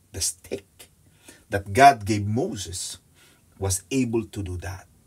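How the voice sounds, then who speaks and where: A man speaks at a very slow pace. His voice is fairly low in pitch and somewhat breathy. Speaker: Bible study teacher. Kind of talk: Bible study teaching.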